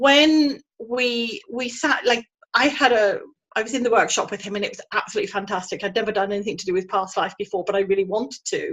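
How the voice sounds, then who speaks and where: At a very fast pace, this speaker talks with a British accent. The pitch moves with ordinary variation. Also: woman, fairly high pitch for a woman. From England. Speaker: energy healer. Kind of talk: interview.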